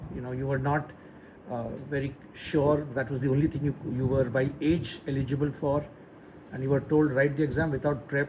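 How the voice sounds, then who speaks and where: With a normal speaking voice, a man uses a fairly high pitch and ordinary pitch variation at a fairly quick pace. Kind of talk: casual interview questions to his father.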